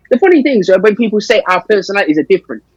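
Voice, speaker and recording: With a London accent, a man speaks high-pitched, energetic and lively in intonation, recorded dry and close with no echo. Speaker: boxing manager. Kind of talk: podcast interview. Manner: loud.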